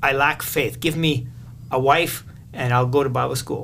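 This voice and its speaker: Speaking at a fairly quick pace with a Canadian accent, a man is heard amid noticeable background noise and audible room echo. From Canada, southern Manitoba. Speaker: missionary. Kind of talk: interview.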